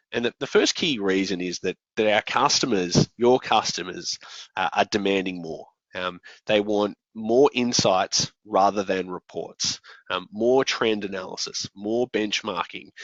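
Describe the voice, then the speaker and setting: A man speaks with an Australian accent at a fairly slow pace. His pitch is fairly low, with ordinary pitch variation. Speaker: software company general manager, conference presenter. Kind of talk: conference presentation. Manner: frequent fillers and hesitations.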